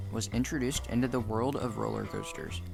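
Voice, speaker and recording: Very fast speech with lively intonation runs over music in the background. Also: man. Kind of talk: documentary narration.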